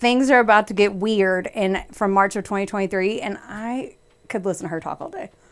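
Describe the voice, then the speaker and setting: A woman with a Kentucky accent at a moderate pace. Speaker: podcast host. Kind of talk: casual chat.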